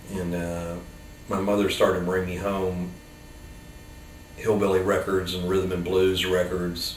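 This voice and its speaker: A man's very deep, low voice with an American accent, fairly slow and monotone, with long, frequent pauses, audible room echo and noticeable background noise. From US South, Tampa, Florida. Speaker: rock and roll musician. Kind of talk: interview reminiscence. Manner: casual, hesitant with fillers.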